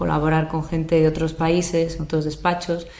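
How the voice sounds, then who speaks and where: Noticeable background noise and audible room echo fill the recording. The intonation is monotone and flat. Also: woman. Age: 30s. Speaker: sports lawyer. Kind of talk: interview. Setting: office.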